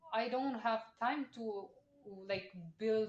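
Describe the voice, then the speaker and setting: Fairly high in pitch, a woman speaks with a non-native accent and fairly even intonation. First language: not English. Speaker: podcast host. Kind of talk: casual chat.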